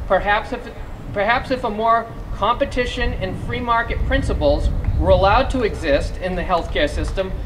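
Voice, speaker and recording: A man with a Massachusetts accent speaks at a moderate pace amid audible room echo and noticeable background noise. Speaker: small business advocacy coordinator. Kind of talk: rally speech.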